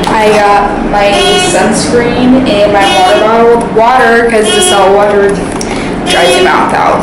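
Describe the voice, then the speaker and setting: Ordinary pitch variation at a fairly slow pace, with loud background noise and audible room echo. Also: woman. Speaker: vlogger. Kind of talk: casual vlog chat. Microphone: phone near.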